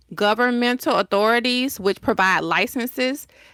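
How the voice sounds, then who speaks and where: A woman with a Southern US accent speaks at a moderate pace, her tone bright and sharp with lively intonation. The sound is dry and close with no echo, on a very clean recording with a silent background. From US South, Decatur, Georgia. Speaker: entrepreneur. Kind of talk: interview.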